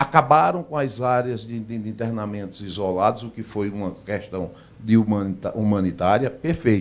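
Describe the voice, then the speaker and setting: A man's plain, everyday voice, fairly low in pitch, with hardly any pauses. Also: ordinary pitch variation, moderate pace, big swings in loudness. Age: 60s. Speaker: doctor and health plan executive. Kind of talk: radio interview. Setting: radio studio.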